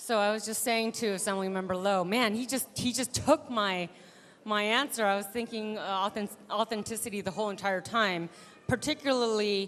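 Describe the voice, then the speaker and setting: A normal speaking voice from a woman, fairly high in pitch, with fairly even intonation at a moderate pace. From Taiwan-born, raised in US from age 3. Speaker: state legislator. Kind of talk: panel discussion.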